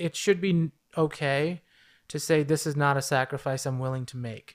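A man with an American accent has an unremarkable speaking voice, a fairly high pitch and ordinary pitch variation at a moderate pace. The recording is very clean, with a silent background. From New York City. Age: 30s. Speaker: social work professor, model and actor. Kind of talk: casual interview.

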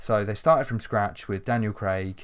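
An unremarkable speaking voice from a man comes at a moderate pace, fairly low in pitch and with fairly even intonation. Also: very clean recording, silent background. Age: 20s. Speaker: podcast host. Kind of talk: casual chat.

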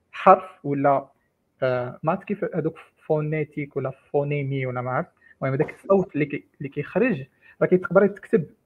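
A somewhat breathy male voice, fairly high in pitch, at a moderate pace with ordinary pitch variation. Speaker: AI engineer. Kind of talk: technical discussion.

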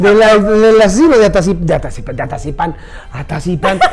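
Amid noticeable background noise and audible room echo, a man with a high pitch talks at a very fast pace. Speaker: podcast host. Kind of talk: casual chat. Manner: animated.

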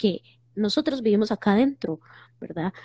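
A woman speaks in a fairly high pitch with lively intonation, her tone dark and mellow. Her voice is somewhat breathy, and the sound is dry and close with no echo. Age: 40s. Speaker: psychologist. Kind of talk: casual chat. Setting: Instagram live video call.

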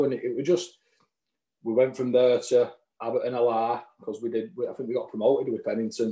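A man with a strong Lancashire accent speaks at a fairly quick pace, with a medium pitch and a dark, mellow tone. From Lancashire, England. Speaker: non-league footballer. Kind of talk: casual interview chat.

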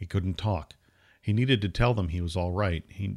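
The speaker is reading aloud in a natural voice, with ordinary pitch variation.

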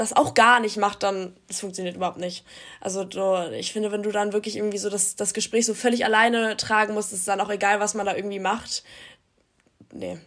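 A woman speaks at a medium pitch in a flat, monotone way, moving at a fairly quick pace broken by long, frequent pauses, on a very clean recording with a silent background. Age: young. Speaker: university student. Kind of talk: casual chat.

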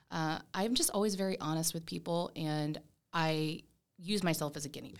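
An unremarkable speaking voice with an American accent, at a moderate pace, fairly even intonation and big swings in loudness, on a very clean recording with a silent background. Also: woman, fairly low pitch for a woman. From Tampa, Florida, US. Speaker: mindset coach and author. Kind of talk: casual interview.

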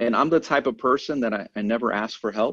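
A plain, everyday voice from a man with an American accent, ordinary pitch variation and a moderate pace, over a quiet background. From New York City (Queens). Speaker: senior air force NCO. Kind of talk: casual chat.

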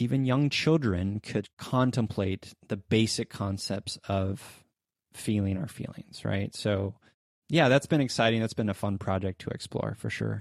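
At a fairly slow pace, a man talks in a normal speaking voice, the sound dry and close with no echo in a very clean recording with a silent background. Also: fairly low pitch for a man, ordinary pitch variation. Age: 30s. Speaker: podcast host and producer, guest. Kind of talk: casual interview.

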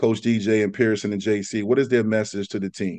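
Over a quiet background, a man with an American accent and an ordinary speaking voice speaks fairly quickly at a medium pitch with ordinary pitch variation. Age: 40s. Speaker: podcast host, former college offensive lineman. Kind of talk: casual sports chat.

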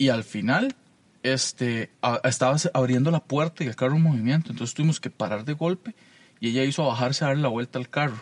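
A man's ordinary speaking voice, medium in pitch, with ordinary pitch variation and a fairly quick pace. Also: dry, close sound with no echo. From Costa Rica, Alajuela. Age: 30s. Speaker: podcast co-host. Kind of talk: casual chat.

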